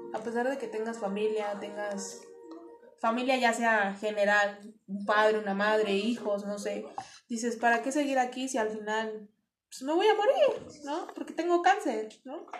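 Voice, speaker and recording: Recorded with audible room echo, a woman speaks at a fairly slow pace while her loudness swings widely. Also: fairly high pitch for a woman, ordinary pitch variation. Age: 20s. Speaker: cancer patient. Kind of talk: interview testimony.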